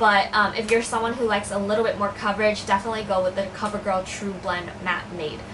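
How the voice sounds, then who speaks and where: A woman's voice carries audible room echo. Noticeable background noise is present too. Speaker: beauty vlogger. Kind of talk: product review.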